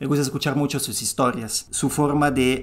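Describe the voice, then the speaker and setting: The voice belongs to a man. It sits fairly high in pitch. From Italy. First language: Italian (speaking Spanish). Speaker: podcast guest speaking about traditional medicine. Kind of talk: explanatory interview talk. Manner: halting, with many fillers and restarts.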